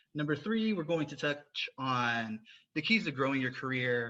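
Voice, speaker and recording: At a moderate pace, a man talks with a Southern US accent against a quiet background. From US South. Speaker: podcast host. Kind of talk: interview podcast.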